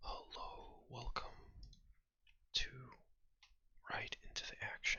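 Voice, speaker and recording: The voice is whispering at a very slow pace. Long, frequent pauses break up the speech. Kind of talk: ASMR gameplay commentary. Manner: whispered.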